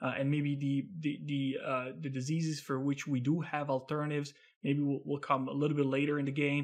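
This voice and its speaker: Against a quiet background, a man with a fairly high pitch speaks at a fairly quick pace in a monotone, flat intonation. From Italy. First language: Italian. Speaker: biotech equity analyst. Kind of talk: interview.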